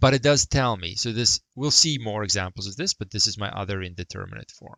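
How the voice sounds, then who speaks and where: Speech moves at a fairly quick pace with ordinary pitch variation. Loudness swings widely from moment to moment. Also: man, fairly low pitch for a man. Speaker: math teacher. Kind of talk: lecture. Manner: fast.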